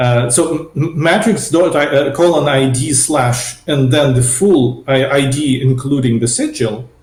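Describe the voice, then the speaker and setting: Spoken with a non-native accent and hardly any pauses, the voice keeps a very even loudness and ordinary pitch variation, with noticeable background noise and audible room echo. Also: man, fairly high pitch for a man. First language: not English. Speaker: software developer, spec proposal author. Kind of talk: technical interview. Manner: halting, many repetitions and fillers.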